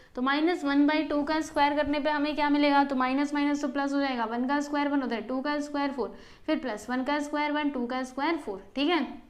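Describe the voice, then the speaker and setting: A woman's high-pitched voice with fairly even intonation and hardly any pauses, in audible room echo. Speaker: maths teacher. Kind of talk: tutorial. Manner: explanatory, repetitive teacher style.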